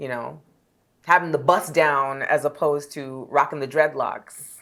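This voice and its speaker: Speaking fairly slowly with an American accent, a woman with a very deep, low pitch keeps fairly even intonation while her loudness swings widely. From Canada, Toronto. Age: 40s. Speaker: travel journalist. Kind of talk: podcast interview.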